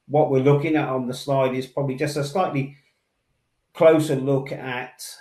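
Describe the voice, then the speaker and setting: A man in a Somerset accent speaks at a medium pitch. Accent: Somerset twang. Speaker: industry sales manager. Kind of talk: webinar presentation. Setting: online webinar. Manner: deliberately slow.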